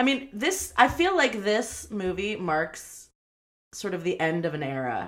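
Animated and full of very wide pitch swings, a woman with a medium pitch and vocal fry speaks at a fairly slow pace. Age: 30s. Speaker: podcast co-host. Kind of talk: casual chat.

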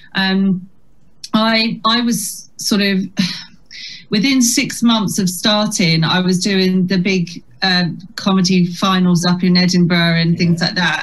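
A woman's somewhat breathy voice at a medium pitch, fairly slow in pace, with very even loudness and fairly even intonation. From Chatham, Kent. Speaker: comedian. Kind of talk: casual interview chat. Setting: video call.

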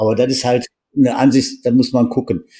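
His tone dark and mellow, a man talks in a medium pitch at a moderate pace. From western Germany, Wuppertal. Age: 60s. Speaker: extreme endurance athlete. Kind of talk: interview.

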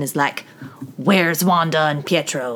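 Lively intonation comes through at a moderate pace against noticeable background noise. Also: woman. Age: 20s. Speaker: podcast co-host, daughter. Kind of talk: casual chat.

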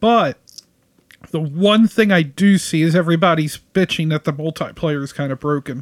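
A man with a normal speaking voice, fairly high pitch, ordinary pitch variation and a moderate pace, in a dry, close sound with no echo. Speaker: podcast co-host. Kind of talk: casual chat.

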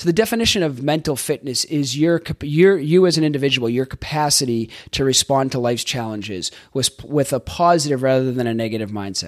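In a very clean recording with a silent background, a man with a Boston accent and a fairly high pitch talks at a fairly quick pace in an enthusiastic tone with lively intonation. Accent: Boston, Northeast US. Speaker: life coach and podcast host. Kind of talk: solo podcast monologue, coaching talk. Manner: fast talker; casual, enthusiastic, with filler words.

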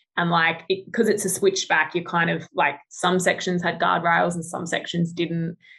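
Hardly pausing, a woman talks with an Australian accent in a fairly low pitch. Her tone is bright and sharp, her intonation monotone and flat. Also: moderate pace. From Australia, Adelaide. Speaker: engineer and travel photographer. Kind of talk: casual interview.

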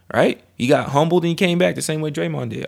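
With ordinary pitch variation and a fairly high pitch, the man has an unremarkable speaking voice. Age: 20s. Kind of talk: casual chat.

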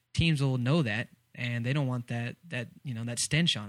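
A man with a normal speaking voice talks at a medium pitch and a moderate pace, with fairly even intonation. The recording is very clean, with a silent background. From Texas. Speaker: sports podcast host. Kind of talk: casual chat.

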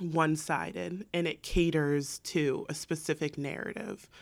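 A woman's voice is captured on a very clean recording against a silent background. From San Diego, US West Coast suburbs. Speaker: accountant. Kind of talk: casual chat.

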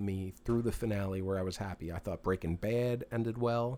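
A man with a Philadelphia accent and a fairly low pitch. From Philadelphia area, US. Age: 40s. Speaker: musician. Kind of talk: casual chat.

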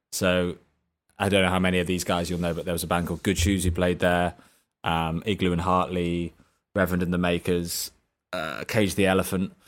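A man speaks at a moderate pace in a very deep, low voice, recorded very cleanly against a silent background. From Chester, northwest England. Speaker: musician. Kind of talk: interview. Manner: halting, with many fillers.

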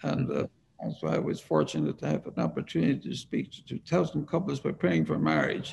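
A man with an Irish accent at a fairly quick pace. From Ireland. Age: 80s+. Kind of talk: interview.

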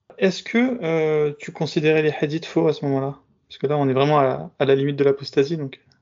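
Delivered at a fairly quick pace, the man's unremarkable speaking voice sits at a fairly high pitch, with ordinary pitch variation and big swings in loudness. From Bobigny, Paris suburbs, France. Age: 30s. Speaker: podcast host. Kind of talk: interview.

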